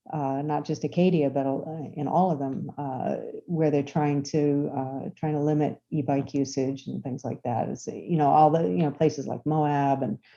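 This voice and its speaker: Fairly even intonation carries a dark, mellow tone, with hardly any pauses. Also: woman, very deep, low pitch for a woman, moderate pace. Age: 50s. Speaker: cyclist and e-bike enthusiast. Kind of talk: casual chat. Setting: podcast interview. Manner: halting, many fillers.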